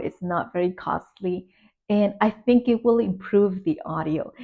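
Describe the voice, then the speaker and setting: This woman's voice is somewhat breathy. She keeps a moderate pace with ordinary pitch variation. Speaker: finance vlogger, new entrepreneur. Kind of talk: casual vlog monologue. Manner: hesitant with fillers. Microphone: new simple gooseneck microphone.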